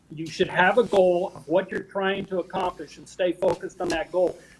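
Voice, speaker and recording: Amid noticeable background noise, a man speaks at a moderate pace with a high pitch. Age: 60s. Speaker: golf instructor and author. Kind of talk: interview.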